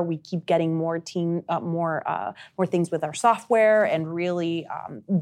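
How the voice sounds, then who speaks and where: In a very clean recording with a silent background, a woman with a Spanish accent talks at a fairly low pitch with ordinary pitch variation. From Uruguay. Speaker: marketing director. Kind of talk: casual interview.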